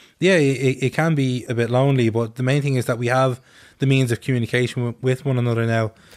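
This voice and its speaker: A man talks at a very fast pace with an Irish accent and very even loudness. The recording is very clean, with a silent background. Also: medium pitch for a man, fairly even intonation. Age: 20s. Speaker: anti-racism activist. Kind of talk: casual radio chat.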